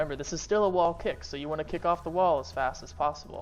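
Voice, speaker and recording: Words come out very fast while music plays behind them. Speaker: gaming streamer. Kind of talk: tutorial. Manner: free-flowing, unscripted.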